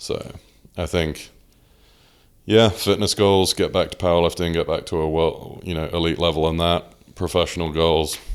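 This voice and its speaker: With a southern English accent, a man speaks at a moderate pace. His very deep, low voice stays monotone and flat. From southern England (Oxford). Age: 20s. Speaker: powerlifter. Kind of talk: casual chat.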